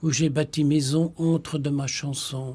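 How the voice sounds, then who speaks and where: In a Flemish accent, a man speaks at a fairly slow pace with fairly even intonation on a very clean recording with a silent background. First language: Flemish (speaking French). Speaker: Benedictine monk, potter and poet. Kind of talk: radio discussion on spirituality.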